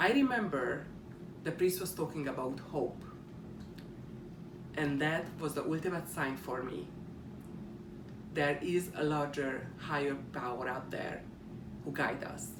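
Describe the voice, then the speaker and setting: In a Hungarian accent, the speaker moves at a fairly slow pace with long, frequent pauses. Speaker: student. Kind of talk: class speech presentation.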